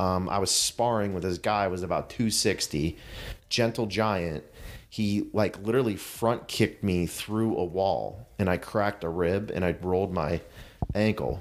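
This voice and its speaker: In an ordinary speaking voice, a man of fairly low pitch talks at a moderate pace with fairly even intonation. His loudness stays very even, and the recording is very clean with a silent background. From Pittsburgh area, US. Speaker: CrossFit coach. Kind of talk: interview.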